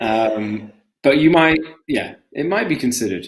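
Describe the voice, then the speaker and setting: A man with a strong British accent speaks at a fairly slow pace. His pitch swings very widely. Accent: British, thick. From Britain. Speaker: English teacher. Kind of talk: live-stream language lesson, casual chat. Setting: live stream video call.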